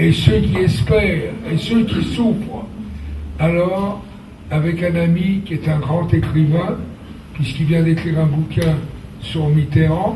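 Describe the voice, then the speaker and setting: A man talks very slowly at a fairly high pitch with ordinary pitch variation. Noticeable background noise runs underneath. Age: 80s+. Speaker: stage director. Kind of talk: public speech presenting a project. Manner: energetic.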